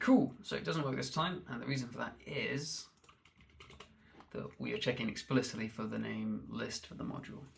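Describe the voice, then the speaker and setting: Mumbling from a man at a moderate pace, with big swings in loudness. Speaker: programmer. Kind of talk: live-coding stream. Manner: halting.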